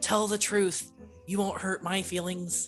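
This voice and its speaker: Someone does a raspy, put-on character voice. Music plays clearly in the background. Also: female-sounding voice, medium pitch for a woman, fairly slow pace. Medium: actual play. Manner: earnest, formal.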